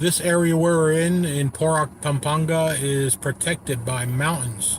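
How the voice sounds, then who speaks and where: A man with an American accent, a fairly high pitch and very even loudness, amid noticeable background noise. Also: ordinary pitch variation, fairly slow pace. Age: 60s. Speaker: travel vlogger. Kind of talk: casual live-stream narration.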